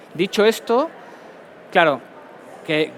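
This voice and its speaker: A man at a moderate pace, with noticeable background noise behind him. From Mexico. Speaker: pharmaceutical company medical director. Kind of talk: conference talk.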